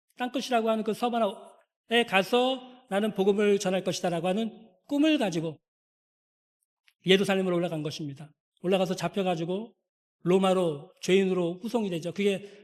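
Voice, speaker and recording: Fairly quick speech broken by long, frequent pauses, with ordinary pitch variation. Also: man. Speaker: pastor. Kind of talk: sermon. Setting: church. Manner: fast.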